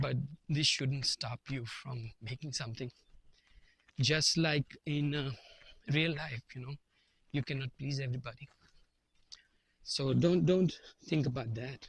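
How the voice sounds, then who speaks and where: A man speaks fairly slowly in a fairly high, somewhat breathy voice. Long pauses come often, and the sound is dry and close with no echo. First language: not English. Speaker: vlogger. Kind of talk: casual monologue to camera. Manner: halting, with fillers and repetitions.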